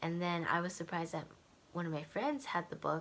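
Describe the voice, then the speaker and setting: A woman speaks quietly at a fairly quick pace. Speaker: book vlogger. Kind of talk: casual vlog monologue. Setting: home at night. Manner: quiet, low voice.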